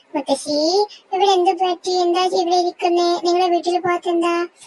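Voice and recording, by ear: A woman does a squeaky, cartoonish character voice at an extremely high pitch, with monotone, flat intonation and a fairly slow pace.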